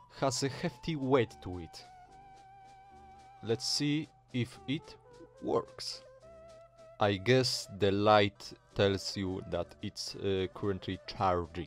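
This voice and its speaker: Over music in the background, a man with a Polish accent talks at a very slow pace in a fairly low voice, leaving long, frequent pauses. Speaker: retro tech hobbyist. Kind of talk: casual tech video narration. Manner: hesitant, with filler sounds.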